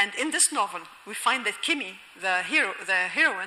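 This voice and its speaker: A woman's moderate-paced speech comes with noticeable background noise. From Egypt, Alexandria. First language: Egyptian Arabic. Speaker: novelist and linguistics professor. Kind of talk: lecture. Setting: auditorium with audience.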